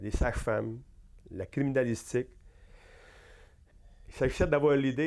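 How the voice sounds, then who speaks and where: A man speaks at a fairly slow pace. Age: 60s. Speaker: accounting professor and university administrator. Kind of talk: interview. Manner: hesitant, many fillers.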